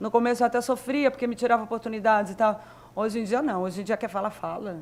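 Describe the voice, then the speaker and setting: The woman's voice sits fairly high. She talks very fast. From southern Minas Gerais, Brazil. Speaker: graffiti artist. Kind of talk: panel discussion.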